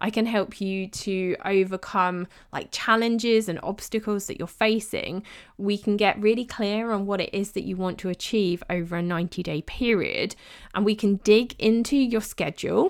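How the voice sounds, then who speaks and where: In a British accent, a woman with a medium-pitched voice talks at a moderate pace with fairly even intonation on a very clean recording with a silent background. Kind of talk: solo podcast monologue.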